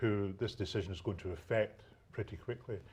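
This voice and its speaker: Somewhat breathy, a man with a Scottish accent speaks at a fairly low pitch. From Scotland. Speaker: local politician. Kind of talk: live studio debate. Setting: TV studio. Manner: halting, repetitive fillers.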